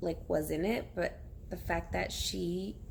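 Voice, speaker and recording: Audible room echo around a woman speaking at a very slow pace. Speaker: bilingual first grade teacher. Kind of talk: casual vlog chat. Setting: at home on her couch. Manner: casual, rambling.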